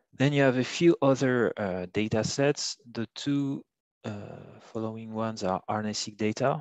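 Speaking at a fairly slow pace with a French accent, a man with a medium pitch and ordinary pitch variation is heard in a dry, close sound with no echo over a quiet background. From France. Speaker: bioinformatics trainer. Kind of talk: tutorial. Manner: halting, many fillers.

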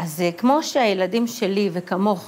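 The pitch of this female voice varies in an ordinary way. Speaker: author and community activist; news guest. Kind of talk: interview. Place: studio. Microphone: lapel.

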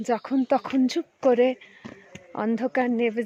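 A woman speaks at a high pitch. The sound is dry and close with no echo, though background noise is noticeable. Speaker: trek group member. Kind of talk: travel vlog commentary. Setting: outdoors in forest.

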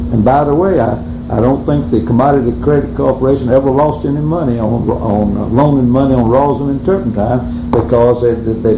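Speaking with an American accent, a man keeps a moderate pace while noticeable background noise carries on behind him. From American South (Georgia). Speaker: company president and interviewee in an oral history; interviewee. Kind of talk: oral history interview answer. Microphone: old recording.

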